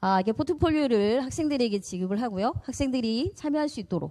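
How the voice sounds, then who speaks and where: A woman's dark, mellow tone, with lively intonation at a fairly quick pace. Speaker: high school department head teacher. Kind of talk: school information session presentation. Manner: fast.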